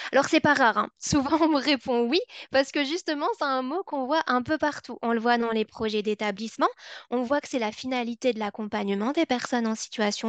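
A woman speaks at a moderate pace in a high voice with ordinary pitch variation, the sound dry with no echo and the background quiet. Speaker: psychology researcher; webinar presenter. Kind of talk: webinar presentation. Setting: online webinar. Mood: warm, engaging. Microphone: video call.

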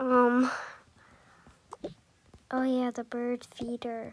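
At a slow pace, a woman speaks with a fairly high pitch and monotone, flat intonation.

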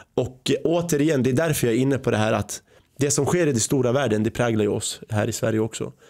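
Very fast speech from a man against a quiet background, with ordinary pitch variation and very even loudness. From Sweden, born in Iraq, arrived age 5. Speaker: podcast host. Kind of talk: podcast interview. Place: studio. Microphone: studio mic.

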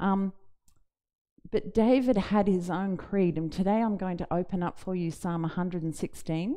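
A woman's fairly low voice with a dark, mellow tone, fairly slow and with ordinary pitch variation, over a quiet background. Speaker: preacher. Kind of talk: sermon. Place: church. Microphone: headset.

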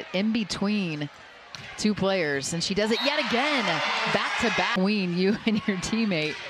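A woman talks at a fairly slow pace, her loudness very even and her pitch medium. Her intonation is lively, and there is noticeable background noise. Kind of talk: live commentary. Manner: analytical; conversational, stumbling.

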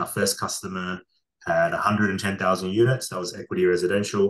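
A man speaks at a moderate pace in a fairly low voice, his intonation fairly even. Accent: Australian. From Australia, Darwin. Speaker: tech company founder and CEO. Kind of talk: interview. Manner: hesitant, many fillers and repeats. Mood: relaxed, storytelling. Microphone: video call.

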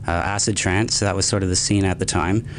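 A man's moderate-paced speech comes with light background noise behind it. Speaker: college radio host. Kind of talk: interview answer. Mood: relaxed, reflective. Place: studio. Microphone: studio mic.

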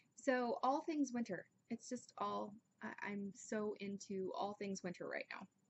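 At a fairly slow pace, a woman speaks at medium pitch with ordinary pitch variation.

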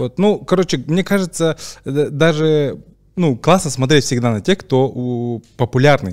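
Fairly slow, lively intonation from a man with a fairly high pitch and a plain, everyday voice, set against a quiet background. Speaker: podcast host. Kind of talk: casual podcast conversation. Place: studio. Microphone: studio mic.

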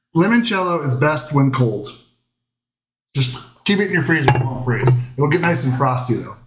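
A man speaks at a moderate pace with a fairly high pitch and a somewhat breathy voice. Long pauses come often, over loud background noise. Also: lively intonation. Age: 40s. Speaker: cooking show host. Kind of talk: casual chat. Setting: home livestream. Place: kitchen. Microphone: camera far.

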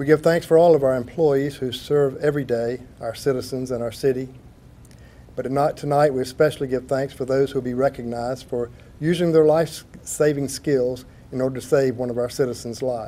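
A man talks in a dark, mellow tone with fairly even intonation. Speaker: city attorney giving invocation. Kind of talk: prayer. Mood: solemn, reverent. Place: hall. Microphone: podium.

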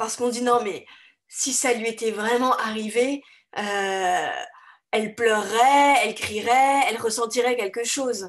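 With an unremarkable speaking voice, a woman speaks at a fairly slow pace and a fairly high pitch, her pitch varying in an ordinary way over a quiet background. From France. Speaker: author. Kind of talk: interview.

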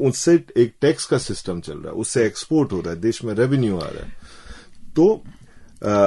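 Against a quiet background, a man with a dark, mellow tone talks at a moderate pace, his pitch making very wide swings. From Uttarakhand, Kumaon (Bageshwar, Lohaghat); Uttarakhand. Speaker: journalist. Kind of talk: radio interview. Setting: radio studio. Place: studio.

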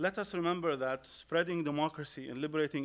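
A man talks at a fairly quick pace with an Arabic accent. His pitch variation is ordinary. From Iraq. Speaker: Arabic literature scholar and poet. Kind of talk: panel talk. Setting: stage with audience. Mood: critical, measured. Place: classroom. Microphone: podium.

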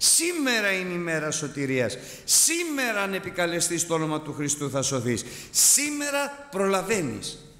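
Audible room echo surrounds a man speaking high and fairly slowly, his pitch swinging very widely. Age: 60s. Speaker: preacher. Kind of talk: sermon. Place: church. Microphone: podium.

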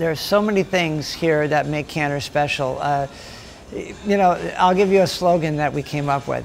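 A man with an American accent speaks at a moderate pace in a fairly high pitch, his intonation fairly even, with music playing in the background. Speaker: deli owner. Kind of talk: interview. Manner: halting, with repeated words.

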